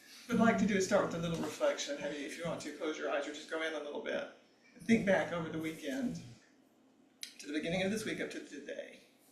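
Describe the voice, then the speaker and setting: A man at a high pitch, talking at a very fast pace, with ordinary pitch variation, big swings in loudness, audible room echo and noticeable background noise. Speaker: meditation teacher. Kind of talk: dharma talk; guided reflection. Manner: soft-spoken.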